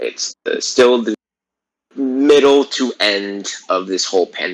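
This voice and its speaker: With a normal speaking voice, a man talks at a medium pitch and a fairly slow pace. The pitch varies in an ordinary way, and the sound is dry and close with no echo. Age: 20s. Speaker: podcast co-host, college student. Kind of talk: casual chat. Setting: online call via Discord. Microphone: choppy connection.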